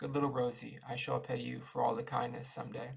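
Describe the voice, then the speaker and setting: A man's raspy, put-on character voice, medium in pitch, at a fairly quick pace. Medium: read story.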